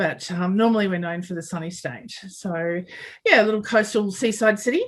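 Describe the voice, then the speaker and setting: With an Australian accent, a woman talks at a moderate pace in a somewhat breathy voice. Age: 40s. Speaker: construction project manager and mentor. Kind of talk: podcast interview.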